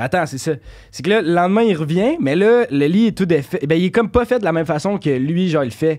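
Against a quiet background, a man with a high pitch speaks at a fairly quick pace. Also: lively intonation. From Quebec, South Shore near Lévis; Quebec. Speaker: podcast guest. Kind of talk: casual chat. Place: studio. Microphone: studio mic.

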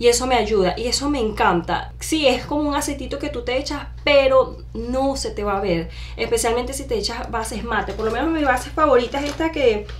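A woman speaks at a fairly quick pace with hardly any pauses. Light background noise is present. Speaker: beauty vlogger. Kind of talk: casual vlog chat. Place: home room. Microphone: camera far.

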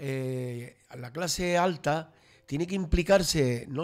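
With ordinary pitch variation, this is a plain, everyday voice. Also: man. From Canary Islands, Los Realejos (Tenerife); Canary Islands. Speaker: local traditions commentator; radio guest. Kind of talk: casual radio panel chat. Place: studio. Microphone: studio mic.

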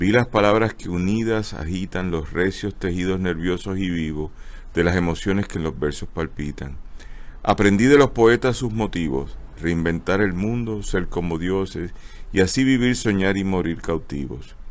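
A man in a Puerto Rican accent speaks at a fairly slow pace with a very deep, low pitch. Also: ordinary pitch variation. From Puerto Rico. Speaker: host of a book club show. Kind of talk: casual live broadcast, hosting. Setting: outdoors at a bookstore street, live stream. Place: shop.

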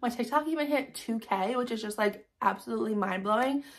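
A woman speaks in an animated tone at a fairly quick pace, her fairly high pitch showing ordinary variation. The background is quiet. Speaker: fan vlogger hosting giveaways. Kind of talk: casual vlog to viewers. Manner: fast. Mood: grateful, warm. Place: home room. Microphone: phone near.

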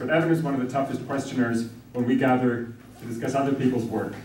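A man at a very fast pace, with light background noise and audible room echo. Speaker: law school dean. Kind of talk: welcome address. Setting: conference room with audience. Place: classroom. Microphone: camera far.

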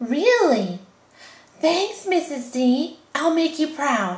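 A female-sounding cartoonish character voice speaks very slowly with a high pitch. Its pitch swings very widely. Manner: soothing, earnest, mellow.

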